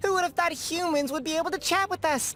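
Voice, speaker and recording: Someone races along at a very fast pace in a put-on character voice at an extremely high pitch. Background noise is clearly heard. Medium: video game. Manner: smug, teasing.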